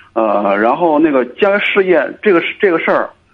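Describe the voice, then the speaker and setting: A man's pitch sits fairly high. His intonation is lively. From Cangzhou, Hebei, China. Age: 30s. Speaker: caller. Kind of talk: phone-in advice call. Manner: halting.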